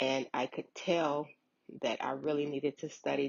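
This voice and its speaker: A woman with a very deep, low pitch speaks with vocal fry. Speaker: unemployment claims worker. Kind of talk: informational vlog. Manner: hesitant, filler words.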